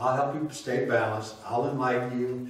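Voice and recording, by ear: A man speaks at a moderate pace with medium pitch. The room echo is strong.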